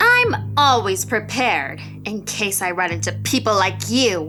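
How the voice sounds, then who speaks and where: A woman uses a put-on character voice over clear music in the background. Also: moderate pace. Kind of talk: horror story narration. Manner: angry, screaming.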